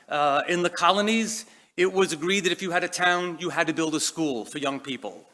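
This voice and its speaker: In a very clean recording with a silent background, a man with a Boston accent speaks in a bright, sharp tone at a high pitch, with ordinary pitch variation. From Boston, US. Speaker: education leader. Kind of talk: keynote speech. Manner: hesitant, many fillers.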